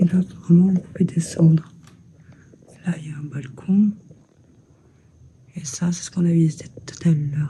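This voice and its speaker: Soft-spoken delivery. The pace is moderate. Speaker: urbex explorer vlogger. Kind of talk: walkthrough vlog narration. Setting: exploring an abandoned house.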